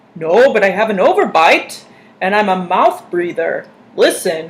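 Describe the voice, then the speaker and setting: The pitch stays in the middle. It is a put-on character voice. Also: moderate pace. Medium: read story. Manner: polite, meek.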